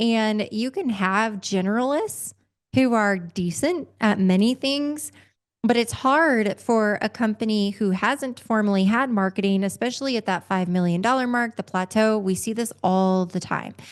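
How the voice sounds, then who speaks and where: Against a quiet background, a woman with a normal speaking voice talks at a moderate pace, fairly high in pitch with ordinary pitch variation. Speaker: revenue consulting company founder and CEO. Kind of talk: interview podcast conversation.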